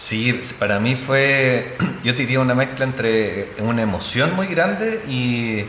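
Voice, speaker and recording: In a Chilean accent, a man speaks at medium pitch, with audible room echo and noticeable background noise. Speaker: football podcast guest. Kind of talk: casual chat.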